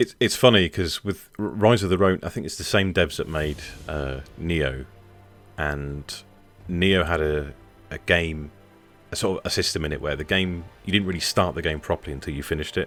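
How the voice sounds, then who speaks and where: Music in the background behind a man at a very deep, low pitch, moderate pace and ordinary pitch variation. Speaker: podcast host. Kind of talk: casual conversation.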